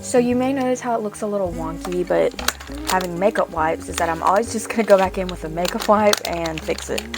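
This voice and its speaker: A woman rattles along at a very fast pace while noticeable background noise carries on around her. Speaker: cosplay content creator. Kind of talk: makeup tutorial with casual talk.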